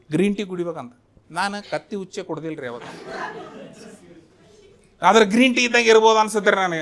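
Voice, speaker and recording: A man speaks in a high voice with a North Karnataka accent and lively intonation, his loudness swinging widely. Noticeable background noise runs under the recording. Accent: North Karnataka Kannada. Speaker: stand-up comedian. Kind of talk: stand-up comedy set.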